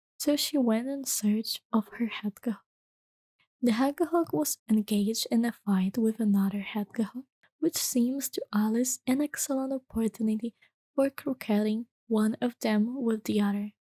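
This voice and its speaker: Soft-spoken and gentle in tone, a woman whispers at a moderate pace in a dry, close sound with no echo. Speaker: VTuber and ASMR reader. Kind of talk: soft-spoken ASMR bedtime story reading. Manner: soft-spoken, gentle, whispery.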